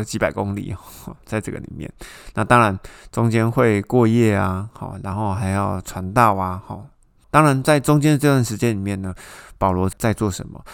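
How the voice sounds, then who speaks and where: Speaking with ordinary pitch variation, a man uses a fairly low voice. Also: very clean recording, silent background. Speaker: Bible study podcast host. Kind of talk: Bible teaching. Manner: casual, conversational.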